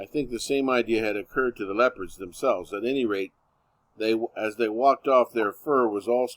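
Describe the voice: Ordinary pitch variation in plain reading aloud, quiet background behind.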